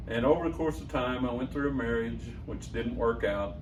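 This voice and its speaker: A very fast delivery in an American accent, with audible room echo and noticeable background noise. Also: man. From Southern Illinois. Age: 60s. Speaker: radio host. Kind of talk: interview storytelling.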